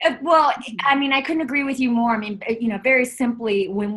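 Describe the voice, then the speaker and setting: With a slight Southern US accent, a woman speaks in a somewhat breathy voice. Her pace is moderate and her intonation lively. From Chapel Hill, North Carolina, US South. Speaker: author and wellness CEO. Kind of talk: casual interview.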